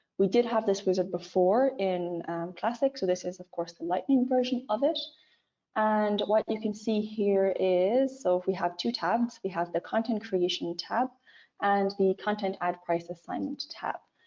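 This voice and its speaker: The speaker is a woman with a medium pitch. Ordinary variation runs through her pitch. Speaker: product manager presenting software. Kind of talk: webinar product demo. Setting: online webinar. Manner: fast.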